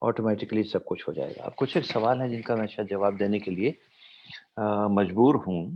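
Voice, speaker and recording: This is an ordinary speaking voice. A man talks at a fairly low pitch with ordinary pitch variation. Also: moderate pace. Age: 60s. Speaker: doctor and motivational speaker. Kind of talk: motivational talk with Q&A. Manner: fluent Hindi-English code-switching.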